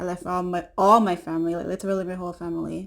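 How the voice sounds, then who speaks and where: A woman with a Caribbean accent speaks at a fairly quick pace on a very clean recording with a silent background. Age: 20s. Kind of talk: casual talk to camera.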